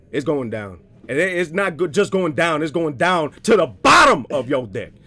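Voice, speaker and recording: An American-accented man with a fairly high pitch and vocal fry, animated in tone, at a moderate pace with lively intonation. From US. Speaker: card game commentator. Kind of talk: live commentary.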